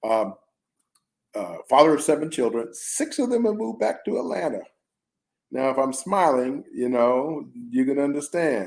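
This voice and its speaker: Fairly high-pitched male speech with very wide pitch swings, a moderate pace and long, frequent pauses. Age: 70s. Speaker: retired physician and author. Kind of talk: interview. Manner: halting, many fillers.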